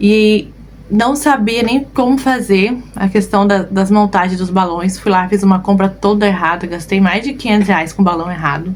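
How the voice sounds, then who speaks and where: A woman's medium-pitched voice at a fairly slow pace, with noticeable background noise. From southern Brazil (Rio Grande do Sul), moved to Cuiabá at 13. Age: 30s. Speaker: balloon decorator and online course teacher. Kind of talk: live online class, personal story. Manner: casual, frequent filler 'né'.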